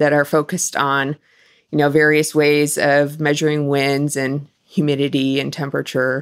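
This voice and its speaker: On a very clean recording with a silent background, a woman with an American accent speaks in a very deep, low voice. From US Midwest (Wisconsin). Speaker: hurricane research scientist. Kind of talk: interview.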